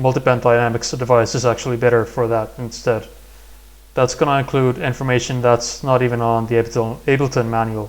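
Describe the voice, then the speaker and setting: This man speaks with a non-native accent in a monotone, flat intonation. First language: not English. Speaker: music production tutorial creator. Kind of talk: tutorial. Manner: halting.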